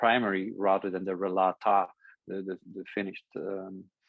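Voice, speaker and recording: A man speaks at a fairly slow pace in a Dutch accent. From Netherlands. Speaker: essay author. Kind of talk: conversation. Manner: halting.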